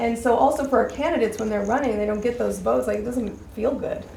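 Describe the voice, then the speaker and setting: A woman's voice with audible room echo. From Wyoming, Laramie County area. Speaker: party member at meeting, recovery worker. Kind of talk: meeting discussion. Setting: meeting room. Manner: animated.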